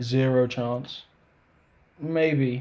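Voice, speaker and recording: In a dark, mellow tone, a man speaks at a medium pitch with fairly even intonation. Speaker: gaming youtuber. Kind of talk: casual gameplay commentary. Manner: casual, hesitant with self-corrections.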